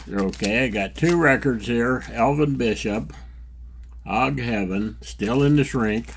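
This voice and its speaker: A man talks at a fairly slow pace in a relaxed tone, his fairly low pitch showing vocal fry. His intonation is lively. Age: 80s+. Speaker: record collector vlogger. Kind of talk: casual vlog. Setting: record store. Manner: relaxed conversational.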